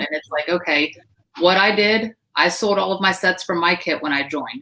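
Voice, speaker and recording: Loud and bright with a sharp tone, a woman speaks with ordinary pitch variation. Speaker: direct sales team leader. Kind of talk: live stream panel talk. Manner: animated.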